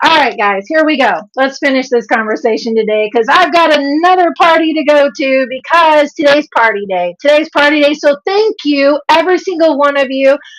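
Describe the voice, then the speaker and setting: With an American accent, a woman talks in a high, animated voice with lively intonation and hardly any pauses. Her loudness stays very even throughout. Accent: Southern drawl, toned down. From US South. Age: 50s. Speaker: health and nutrition coach. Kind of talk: livestream talk to viewers.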